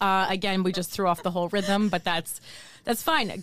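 The recording is very clean, its background silent. A woman talks with an American accent. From New Jersey. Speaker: stand-up comedian and podcast co-host. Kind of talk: casual conversational interview. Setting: recording studio.

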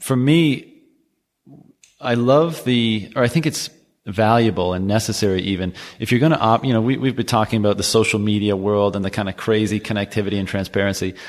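With a Canadian accent, a man speaks at a fairly quick pace in an ordinary speaking voice, fairly low in pitch with ordinary pitch variation. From Canada. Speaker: podcast host. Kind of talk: casual interview chat.

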